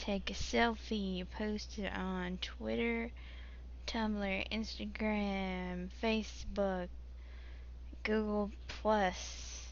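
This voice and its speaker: Audible room echo follows a woman speaking at a very slow pace. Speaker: gaming live streamer. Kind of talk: live stream gameplay chat. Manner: casual, halting with fillers.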